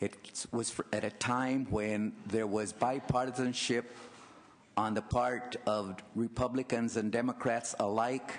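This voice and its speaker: Monotone and flat, a man speaks at a fairly slow pace with very even loudness over noticeable background noise. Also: medium pitch for a man. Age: 70s. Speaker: former legislator. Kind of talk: public testimony. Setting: legislative committee hearing.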